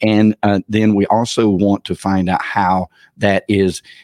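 A man with a fairly low pitch and a Southern US accent, dry and close with no echo, over a quiet background. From Georgia, US South. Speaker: personal branding consultant. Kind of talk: interview conversation. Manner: halting, many fillers.

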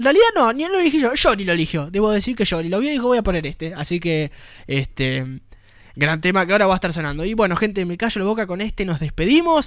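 Very fast speech in a Rioplatense accent, with lively intonation. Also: man. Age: 20s. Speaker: radio host. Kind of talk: radio show.

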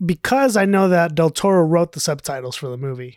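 This woman has an ordinary speaking voice, fairly low in pitch. The sound is dry and close, with no echo. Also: very clean recording, silent background. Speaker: movie podcast co-host. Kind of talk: casual chat.

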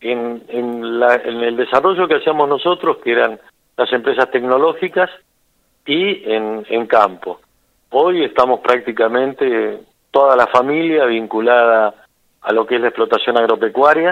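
A man with an unremarkable speaking voice talks at a fairly slow pace, medium in pitch with ordinary pitch variation. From Buenos Aires province, Argentina. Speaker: businessman and farmer. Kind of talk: interview. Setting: phone call.

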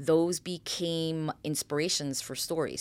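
This woman has a very deep, low pitch and an American accent. The recording is very clean, with a silent background. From New York (Bronx) and New Jersey suburbs. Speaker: film and TV producer. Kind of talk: interview.

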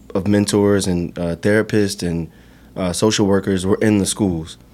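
Fairly low in pitch, a man with an American accent speaks in a monotone, flat intonation. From Roanoke, Virginia. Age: 30s. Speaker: nonprofit founder. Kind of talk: interview. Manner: hesitant with fillers.

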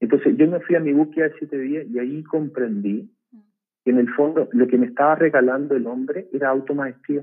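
The speaker has an unremarkable speaking voice with ordinary pitch variation. The pace is moderate. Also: man, fairly high pitch for a man. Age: 50s. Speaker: organizational learning facilitator and ceremony leader. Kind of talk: casual interview.

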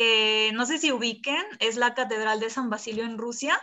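A woman's plain, everyday voice, fairly high in pitch, with fairly even intonation at a moderate pace. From Colima, Mexico. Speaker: architecture student. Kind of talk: casual chat.

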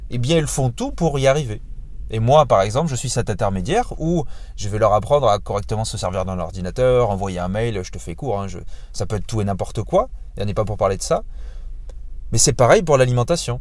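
Long, frequent pauses break up a man's fairly quick pace. His medium pitch moves with lively intonation. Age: 30s. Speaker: podcast host and fitness coach. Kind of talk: casual solo monologue. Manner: halting, many fillers.

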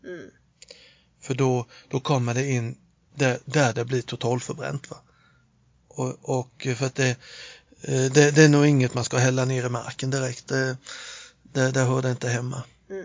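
A man talks quietly at a fairly slow pace, his medium-pitched voice monotone and flat. He leaves long, frequent pauses. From Småland, Sweden (Nässjö). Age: 50s. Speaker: inventor and workshop owner. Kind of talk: casual chat. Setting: improvised studio in a hotel toilet. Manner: halting, many repetitions.

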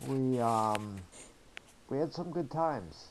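In a New England accent, a man speaks at a medium pitch. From New Hampshire. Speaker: injured motorcyclist, wheelchair user. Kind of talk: interview testimony.

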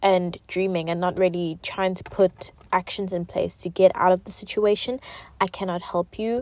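In a dry, close sound with no echo, a woman speaks fairly slowly at a medium pitch with fairly even intonation. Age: 20s. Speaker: podcast host. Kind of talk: casual monologue.

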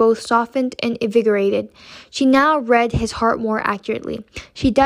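The voice is plain reading aloud. Its pitch variation is ordinary.

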